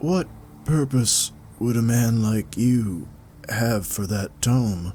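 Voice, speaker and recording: Over clear background noise, a man does a croaky put-on character voice at medium pitch, speaking at a very slow pace. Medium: read story. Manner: slow, careful.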